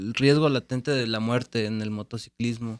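In a very clean recording with a silent background and a dry, close sound with no echo, a man uses a plain, everyday voice at a medium pitch with ordinary pitch variation. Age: 30s. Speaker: podcast host. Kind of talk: casual interview chat.

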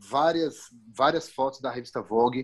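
Pitch moves up and down in an ordinary way here. Overall, it is a normal speaking voice. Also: man. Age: 30s. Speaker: fashion photographer. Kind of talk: casual chat.

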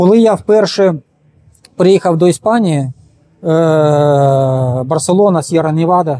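Taking long, frequent pauses, a man speaks at a very slow pace with a fairly high pitch and a dark, mellow tone. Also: ordinary pitch variation. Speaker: sports physiologist and canoe sprinter. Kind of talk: interview.

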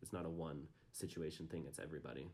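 In an American accent, a man talks at a very fast pace with a very deep, low pitch. His intonation is fairly even, marked by vocal fry. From Utah, US. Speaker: recent graduate interviewee. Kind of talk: personal testimony interview.

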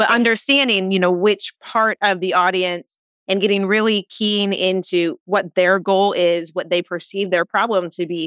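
With an unremarkable speaking voice, a woman talks at a moderate pace and medium pitch, her pitch varying in an ordinary way, in a dry, close sound with no echo. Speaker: podcast host. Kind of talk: interview conversation.

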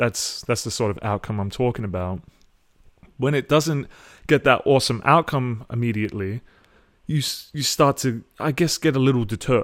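Speaking at a fairly quick pace, a man with an Australian accent uses a medium pitch and ordinary pitch variation. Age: 20s. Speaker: podcast host. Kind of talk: solo monologue. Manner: halting.

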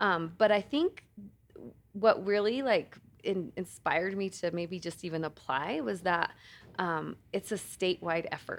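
A woman's plain, everyday voice, medium in pitch, at a fairly slow pace with ordinary pitch variation. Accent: American. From Colorado, San Luis Valley. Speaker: nonprofit executive director. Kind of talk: casual interview.

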